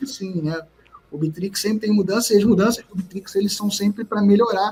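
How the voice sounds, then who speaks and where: With a Rio de Janeiro accent, a man speaks in a high pitch at a moderate pace. His intonation is fairly even, and there is noticeable background noise. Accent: carioca. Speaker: entrepreneur. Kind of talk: podcast interview.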